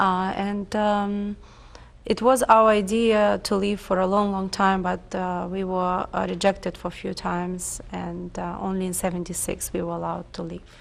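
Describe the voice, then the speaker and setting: A woman with a Russian accent, at a moderate pace. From Ukraine, Lviv. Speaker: oral history interviewee. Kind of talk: oral history interview. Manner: halting, many fillers.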